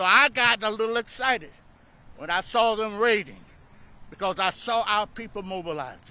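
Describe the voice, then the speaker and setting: A man's high, raised and projected voice, bright and sharp, animated in tone with ordinary pitch variation and long, frequent pauses, on a very clean recording with a silent background. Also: moderate pace. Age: 70s. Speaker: pastor and voting rights activist. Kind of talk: fiery speech at a rally. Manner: animated, preacher-style call and response.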